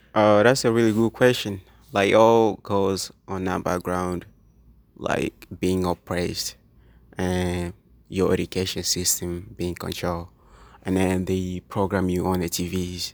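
In an East African accent, a man speaks with a very deep, low pitch, monotone, flat intonation and a fairly slow pace, on a very clean recording with a silent background. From Tanzania. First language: Swahili. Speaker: business student. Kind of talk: interview.

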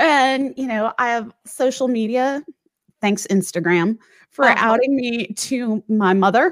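With an American accent, a woman talks at a fairly slow pace. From US Midwest, St. Louis. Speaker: author. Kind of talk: interview.

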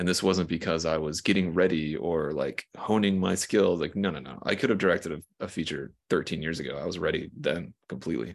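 The voice has vocal fry and ordinary pitch variation, running at a fairly quick pace with hardly any pauses on a very clean recording with a silent background. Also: man, very deep, low pitch for a man. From US South, small town in South Carolina. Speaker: film director and writer. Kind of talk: interview.

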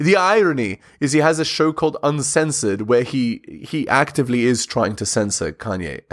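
A fairly high-pitched man speaks with vocal fry and lively intonation at a moderate pace, with hardly any pauses. The recording is very clean, with a silent background. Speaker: YouTuber. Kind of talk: reaction commentary. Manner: halting.

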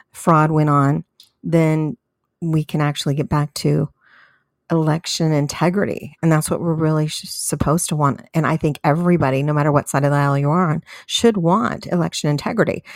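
At a fairly quick pace, a woman with an American accent speaks in a very deep, low pitch with fairly even intonation, the sound dry and close with no echo. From US West Coast, San Diego, California. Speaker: conservative radio host. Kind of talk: political talk radio monologue.

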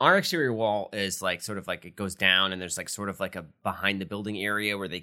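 A man speaks in a fairly low pitch with a bright, sharp tone, on a very clean recording with a silent background. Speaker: comedian and podcast co-host. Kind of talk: casual chat.

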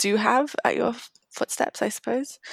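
A woman in a British accent at a moderate pace, with ordinary pitch variation and a dry, close sound with no echo. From Singapore, then UK from age 13. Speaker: marine conservation program manager. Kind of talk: casual interview.

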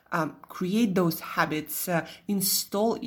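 A woman speaks very slowly in a Russian accent. Her pitch is fairly low and varies in an ordinary way. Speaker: nutritionist podcast host. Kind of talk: solo podcast monologue. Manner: casual.

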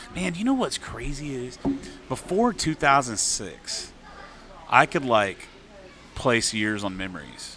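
With a Texan accent, the speaker moves at a very slow pace, taking long, frequent pauses as the pitch swings very widely. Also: man, medium pitch for a man. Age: 40s. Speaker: singer-songwriter. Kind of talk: casual chat. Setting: bar venue.

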